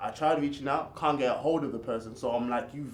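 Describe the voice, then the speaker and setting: Amid noticeable background noise and audible room echo, a man with an American accent talks at a very fast pace in a medium pitch. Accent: American accent, switches between US and UK. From UK with US summers. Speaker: reality show participant. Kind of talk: casual interview. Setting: studio couch.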